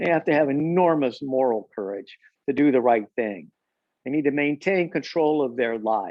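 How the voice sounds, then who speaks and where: With lively intonation, a man in an unremarkable speaking voice talks at a moderate pace and a fairly high pitch. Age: 60s. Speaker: parenting expert. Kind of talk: conversational discussion.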